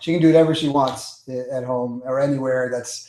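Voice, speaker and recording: A man with a New York accent talks at a fairly quick pace and a medium pitch. Noticeable background noise and audible room echo fill the recording. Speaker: public speaking coach. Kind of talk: webinar teaching. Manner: energetic.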